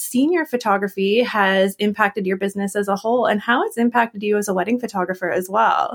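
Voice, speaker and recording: A woman speaks with a Canadian accent in an unremarkable speaking voice. Her pitch variation is ordinary. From Canada. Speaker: podcast host and wedding photographer. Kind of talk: interview conversation.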